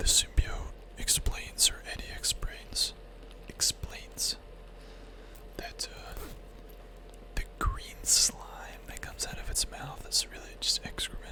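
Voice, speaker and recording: Delivery comes at a very slow pace with long, frequent pauses, over noticeable background noise. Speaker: streamer. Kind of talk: casual livestream chat about comic books, talking to viewers.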